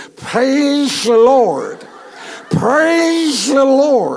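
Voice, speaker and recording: This is a put-on character voice with a high pitch. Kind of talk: sermon. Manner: awkward, hampered speech.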